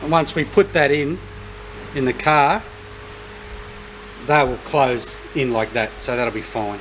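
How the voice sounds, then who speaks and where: Against noticeable background noise, a man with an Australian accent talks at a fairly slow pace with long, frequent pauses, his medium pitch showing ordinary variation. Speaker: car restoration YouTuber. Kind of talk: tutorial. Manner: loud.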